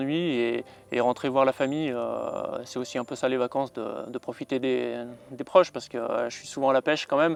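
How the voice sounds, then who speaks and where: A man's medium-pitched voice at a moderate pace, fairly even in intonation, dry and close with no echo. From France (Savoie). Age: 30s. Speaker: carp angler. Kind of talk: outdoor fishing vlog narration. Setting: outdoors at a reservoir lake. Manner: hesitant, many fillers.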